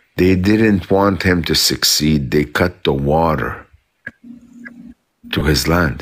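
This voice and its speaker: A man talks with a very deep, low pitch. His tone is animated and his intonation lively. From South Lebanon. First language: Arabic. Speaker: commentator in a live chat. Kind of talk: casual live chat. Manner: halting, many repetitions.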